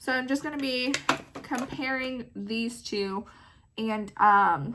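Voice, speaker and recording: A woman talks in a fairly high voice with ordinary pitch variation. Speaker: beauty vlogger. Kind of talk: casual makeup tutorial. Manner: animated.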